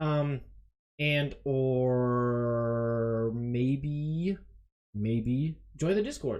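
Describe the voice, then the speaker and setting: The speaker is a man. Music plays behind him. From Germany. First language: German (English until age six). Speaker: video game streamer. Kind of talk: casual live stream commentary. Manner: hesitant, many fillers and repetitions.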